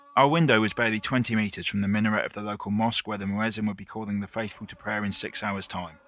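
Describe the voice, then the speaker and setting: A man talks very fast in a fairly low voice with fairly even intonation, and noticeable background noise can be heard. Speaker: writer, photographer and surfer. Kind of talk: dramatic narration, scripted first-person travel essay. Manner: measured, evocative, reflective.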